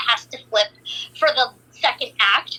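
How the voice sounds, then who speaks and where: A woman uses a raised, projected voice. Noticeable background noise runs underneath. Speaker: voice actor. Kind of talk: casual interview chat.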